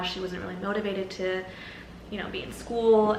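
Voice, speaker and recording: Amid noticeable background noise and audible room echo, a woman talks at a fairly quick pace with a medium-pitched voice and fairly even intonation. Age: 20s. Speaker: vlogger. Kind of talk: casual vlog talk. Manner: casual, filler-heavy.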